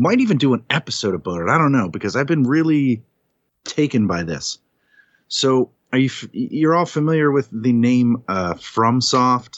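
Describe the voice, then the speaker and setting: Lively intonation from a man at a moderate pace, in a plain, everyday voice. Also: medium pitch for a man. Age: 40s. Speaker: podcast host, guest on the show. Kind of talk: casual chat.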